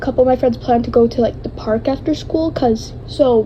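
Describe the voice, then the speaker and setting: A woman talks at a high pitch. Noticeable background noise runs beneath her voice. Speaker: vlogger. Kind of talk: personal testimony. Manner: halting.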